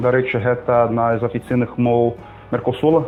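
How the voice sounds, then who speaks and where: Over music in the background, a man speaks with flat, monotone intonation. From Brazil. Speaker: co-host, language learner. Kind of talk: casual chat. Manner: halting.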